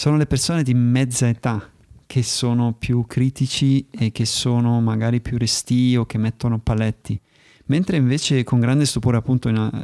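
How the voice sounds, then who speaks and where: The tone is dark and mellow, with fairly even intonation. The pace is moderate, and the sound is dry and close with no echo. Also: man, medium pitch for a man. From Germany. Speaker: podcast host and video maker. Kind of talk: interview conversation.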